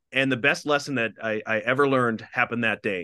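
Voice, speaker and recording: A man with an Upper Midwest accent speaks at a moderate pace in a bright, sharp tone. The background is quiet. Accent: Upper Midwest American. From Minnesota, small town. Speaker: TV anchor and communications executive. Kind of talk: interview.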